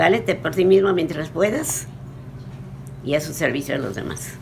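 A woman talks at a fairly slow pace with lively intonation. Noticeable background noise runs behind her. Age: 80s+. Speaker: motivational speaker. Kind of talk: interview answer. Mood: warm, encouraging. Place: home room. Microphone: phone near.

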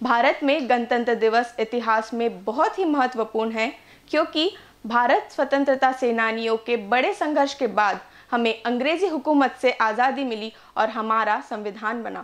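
At a moderate pace and with few pauses, a woman talks in a fairly high voice. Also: ordinary pitch variation.

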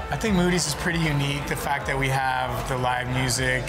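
A man is talking. Clear music plays in the background. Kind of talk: interview answer. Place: bar.

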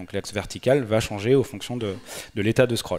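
A man's medium-pitched voice moves fairly quickly and shows ordinary pitch variation. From France, Nantes; France. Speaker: Android developer and conference speaker; conference speaker. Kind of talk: conference talk. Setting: stage with audience. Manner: hesitant, many filler sounds. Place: hall. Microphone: headset.

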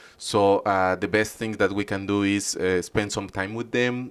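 At a moderate pace, a man with a Spanish accent speaks in a fairly low pitch with fairly even intonation. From Mexico. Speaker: animal shelter volunteer. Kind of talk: interview. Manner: hesitant, many fillers. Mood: calm, earnest. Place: street. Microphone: handheld.

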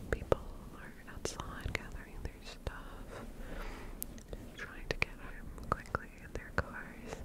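Whispering at a very slow pace, a woman is soft-spoken. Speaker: ASMR creator. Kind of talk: soft casual ASMR chat. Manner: soft close-mic whisper. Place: home room. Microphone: studio mic.

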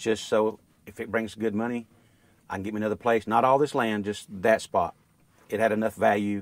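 A man in an East Texas accent, fairly low in pitch, at a fairly quick pace with long, frequent pauses, monotone and flat in intonation, with a dry sound and no echo. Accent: East Texas Southern US. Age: 50s. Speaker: rural landowner. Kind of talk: casual chat. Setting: outdoors. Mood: worried, earnest. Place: open country. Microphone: lapel.

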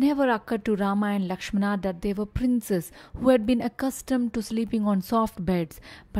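The pitch moves in an ordinary way throughout this plain reading aloud.

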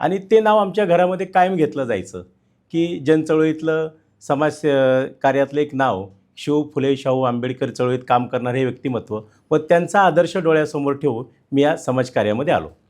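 Against a quiet background, a man with an unremarkable speaking voice talks at a fairly high pitch with lively intonation. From Pimpri-Chinchwad, Maharashtra, India. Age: 40s. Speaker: independent election candidate. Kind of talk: interview. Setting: studio.

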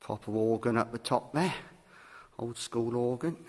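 The pace of this man's speech is fairly slow. There is ordinary variation in his pitch. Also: medium pitch for a man, slightly mellow tone.

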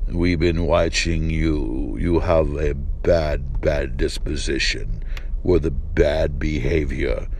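A man uses a put-on, menacing character voice at a very slow pace over clear background noise. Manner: ominous, menacing.

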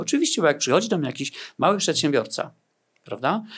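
Against a quiet background, a man rattles along at a very fast pace. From Poland. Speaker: negotiation consultant; guest. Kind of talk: interview. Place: studio. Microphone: studio mic.

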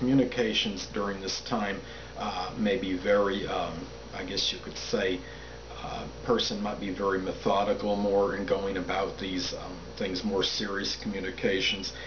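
Over noticeable background noise, a man talks at a moderate pace in a fairly low pitch. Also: ordinary pitch variation. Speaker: astrology commentator. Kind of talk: monologue explanation. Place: home room. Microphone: camera far.

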